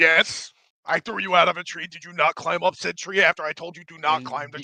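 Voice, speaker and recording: A put-on character voice moves at a fairly quick pace in a middle pitch. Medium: actual play. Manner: aggrieved, guilt-tripping.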